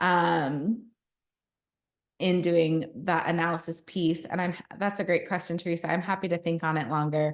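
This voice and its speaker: A woman talks in a plain, everyday voice at a fairly low pitch. Her pace is fairly slow and her intonation fairly even. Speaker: social work researcher and presenter. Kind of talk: continuing education lecture.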